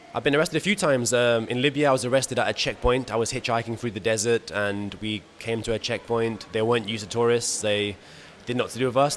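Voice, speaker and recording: A man at a medium pitch, very fast pace and fairly even intonation, with noticeable background noise. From Portugal. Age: 20s. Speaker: traveller and content creator. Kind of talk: interview. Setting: travel festival with background noise.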